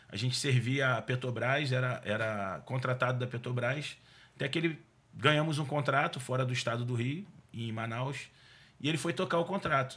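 A man's bright, sharp tone comes at a moderate pace with ordinary pitch variation. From Rio de Janeiro state (Duque de Caxias, Baixada Fluminense); Rio de Janeiro state, Brazil. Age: 40s. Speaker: car dealer and business owner; podcast guest. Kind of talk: casual interview. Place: studio. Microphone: studio mic.

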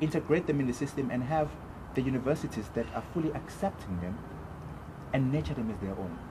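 Noticeable background noise sits under the voice. A man talks at a very fast pace. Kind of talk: interview answer. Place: open country. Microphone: camera far.

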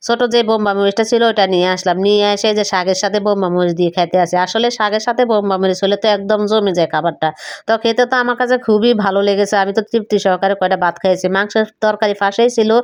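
With a plain, everyday voice, a woman talks at a medium pitch, her intonation fairly even and her loudness very even. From Noakhali, Bangladesh. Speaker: home cooking vlogger. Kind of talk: cooking vlog narration. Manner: casual, conversational.

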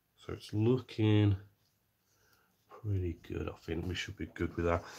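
In a very clean recording with a silent background, a man speaks at a moderate pace, somewhat breathy, with fairly even intonation. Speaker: scale model maker. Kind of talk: live-stream tutorial. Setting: live stream. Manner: casual, thinking aloud.

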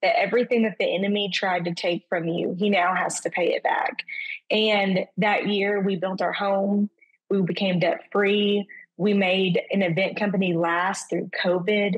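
In a Southern US accent, the speaker talks at a fairly slow pace with monotone, flat intonation and very even loudness against a quiet background. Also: woman. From Arkansas. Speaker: event planner; podcast guest. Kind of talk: personal testimony. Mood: earnest, reflective. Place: home room. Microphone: video call.

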